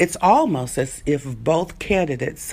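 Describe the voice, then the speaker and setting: Speaking at a fairly slow pace with vocal fry, a woman with an American accent is heard on a very clean recording with a silent background. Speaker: evangelist and civil rights activist. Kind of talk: commentary to camera on a political debate.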